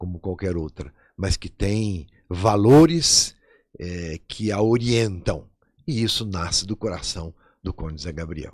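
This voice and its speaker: Very slow and very deep in pitch, a man talks with lively intonation in a very clean recording with a silent background. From southern Minas Gerais, Brazil (Jacutinga, São Paulo border). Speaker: archbishop. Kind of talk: radio interview.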